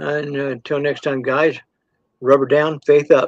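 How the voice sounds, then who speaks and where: In an American accent, a man with an ordinary speaking voice talks at a fairly slow pace and fairly high pitch, with a dry, close sound and no echo. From Southern Illinois. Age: 60s. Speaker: retired army veteran. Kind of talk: casual chat.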